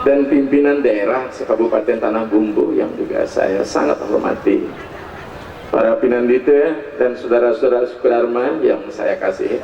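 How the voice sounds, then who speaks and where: A man's voice at very even loudness, with audible room echo and noticeable background noise. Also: moderate pace. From Bali. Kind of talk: religious talk (dharma discourse). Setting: outdoor stage with audience at ceremony.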